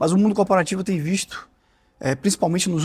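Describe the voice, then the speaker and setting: Somewhat breathy, a man speaks with a Bahian accent. The recording is very clean, with a silent background. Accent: Bahian (Salvador) Portuguese accent, retained. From Brazil, Salvador (Bahia). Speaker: corporate integrity executive, lawyer. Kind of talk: podcast interview. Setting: podcast studio.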